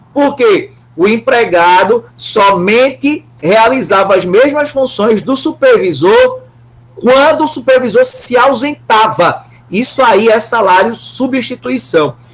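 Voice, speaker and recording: A man with a Brazilian accent speaks very slowly, his pitch extremely high and his loudness very even. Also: lively intonation. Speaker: law professor. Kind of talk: lecture.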